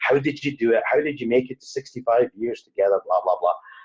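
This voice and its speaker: A man talks at a very fast pace. He has a Scottish accent. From Scotland. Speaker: wedding DJ. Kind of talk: interview conversation. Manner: hesitant, many fillers.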